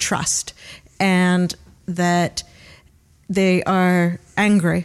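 A woman speaks with a Great Lakes accent on a very clean recording with a silent background. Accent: Great Lakes American. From Cleveland, Ohio, US. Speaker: palliative care physician and bioethics researcher. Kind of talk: interview discussing euthanasia.

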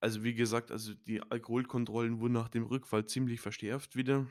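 On a very clean recording with a silent background, a man speaks at a medium pitch and a fairly quick pace with a monotone, flat intonation. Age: 20s. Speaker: podcaster. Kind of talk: personal testimony. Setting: home studio. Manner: halting, many fillers.

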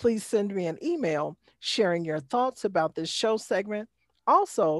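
Against a silent background in a very clean, dry, close recording with no echo, a woman with an unremarkable speaking voice talks at a medium pitch and fairly slow pace with lively intonation. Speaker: podcast host. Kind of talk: casual interview chat.

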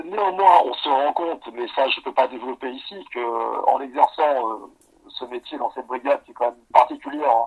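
A man's fairly high voice at a moderate pace, with big swings in loudness, a dry, close sound with no echo, and noticeable background noise. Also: ordinary pitch variation. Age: 40s. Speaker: police officer. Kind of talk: interview. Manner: halting.

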